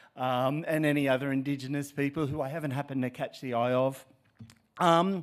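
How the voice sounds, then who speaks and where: A fairly quick, fairly high-pitched man with an Australian accent and fairly even intonation. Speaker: professor. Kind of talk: keynote speech. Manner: halting, many fillers.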